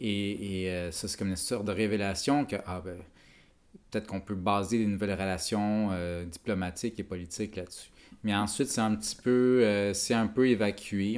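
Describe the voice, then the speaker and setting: Fairly low in pitch, the man's voice keeps its intonation fairly even. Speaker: podcast host. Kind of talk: casual chat.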